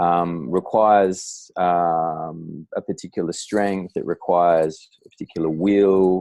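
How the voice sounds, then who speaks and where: A man in an Australian accent, very deep and low in pitch with a dark, mellow tone, monotone and flat, very slow yet with hardly any pauses, in a very clean, dry, close recording with a silent background and no echo. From Australia, Darwin. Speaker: writer and poet. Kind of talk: casual interview conversation. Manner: halting, many fillers and restarts.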